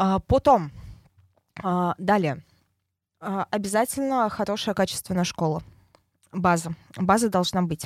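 A woman speaks at a very slow pace with long, frequent pauses and ordinary pitch variation. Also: medium pitch for a woman. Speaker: head of traffic team. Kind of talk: casual interview.

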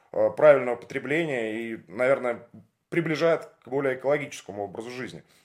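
A man with an ordinary speaking voice talks at a fairly quick pace and medium pitch with ordinary pitch variation. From Russia, Leningrad. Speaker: podcast host, former radio presenter. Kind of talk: interview. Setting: at the guest's home.

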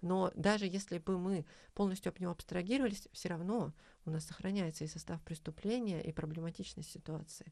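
A woman's fairly low voice, dark and mellow in tone, with ordinary pitch variation. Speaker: university lecturer and feminist activist. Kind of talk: interview conversation. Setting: studio. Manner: formal, academic, with hesitations.

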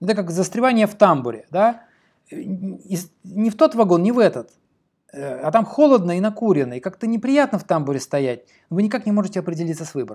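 Speaking quickly, a man uses a high pitch with very wide pitch swings. The recording is very clean, with a silent background. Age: 40s. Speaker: podcast host and writing teacher. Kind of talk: solo podcast monologue. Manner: animated.

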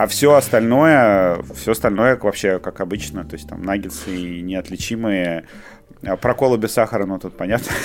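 Music plays behind a man with a fairly low pitch and lively intonation. He keeps a moderate pace, and his loudness swings widely. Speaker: podcast co-host. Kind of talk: casual chat.

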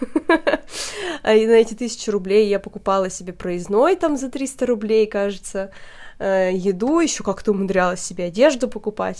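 On a very clean recording with a silent background, a woman speaks at a moderate pace with a fairly high pitch and ordinary pitch variation. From Russia, Perm region small town. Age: 30s. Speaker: podcast host. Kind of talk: casual chat.

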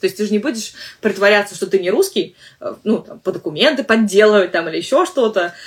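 Using a normal speaking voice, a woman talks at a fairly quick pace with a medium pitch and lively intonation. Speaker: English teacher and podcast host. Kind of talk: solo podcast monologue. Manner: conversational with frequent fillers.

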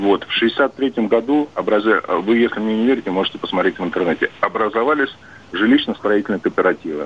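A man talks at a fairly quick pace in an unremarkable speaking voice. His medium pitch has lively intonation, and his loudness is very even. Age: 40s. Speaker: long-haul truck driver. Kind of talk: call-in chat.

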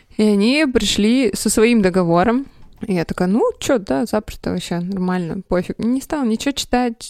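A woman's plain, everyday voice, fairly high in pitch, with lively intonation at a moderate pace, in a dry, close sound with no echo. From Russia, Sverdlovsk region. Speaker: graphic designer. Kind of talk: casual chat.

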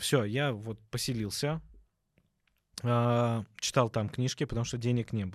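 A man speaks at a moderate pace and a medium pitch, recorded very cleanly against a silent background. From Obninsk, Russia, in a Georgian diaspora. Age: 30s. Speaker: dental surgeon. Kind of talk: casual chat.

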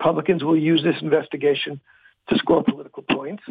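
A plain, everyday voice from a man, fairly high in pitch, at a moderate pace. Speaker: writer and commentator. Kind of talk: radio interview.

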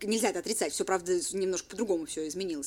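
Speaking at a very fast pace, a woman uses lively intonation at a medium pitch. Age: 20s. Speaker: bar manager. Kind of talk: casual chat.

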